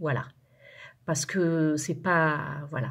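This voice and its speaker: A woman talks at a fairly slow pace on a very clean recording, and the background is silent. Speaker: resin craft youtuber. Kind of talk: tutorial. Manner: hesitant, many fillers and repeats.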